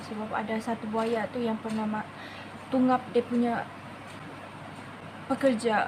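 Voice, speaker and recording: A woman with a Sabah accent talks at a moderate pace in a fairly high pitch, with noticeable background noise behind her. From Malaysia, Sabah. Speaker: beauty vlogger. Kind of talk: makeup tutorial with casual storytelling. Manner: code-switching Malay and English.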